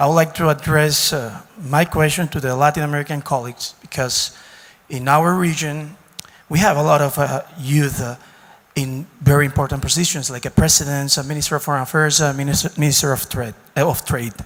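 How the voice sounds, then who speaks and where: Against noticeable background noise, a man talks at a fairly quick pace and a fairly high pitch, his intonation fairly even. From Dominican Republic. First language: Spanish. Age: 30s. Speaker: diplomat. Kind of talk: audience question.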